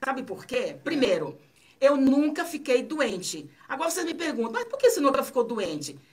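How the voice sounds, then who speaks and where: This woman's voice is high, with lively intonation. She keeps a moderate pace. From Bahia, Brazil (Itabuna). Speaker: author. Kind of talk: radio interview. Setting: radio studio.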